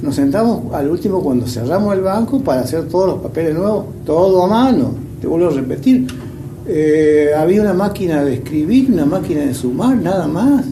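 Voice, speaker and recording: At a moderate pace, the voice swings very widely in pitch, with audible room echo and noticeable background noise. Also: man, high pitch for a man. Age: 70s. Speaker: retired bank employee. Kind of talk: interview testimony. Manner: halting, many fillers and repetitions.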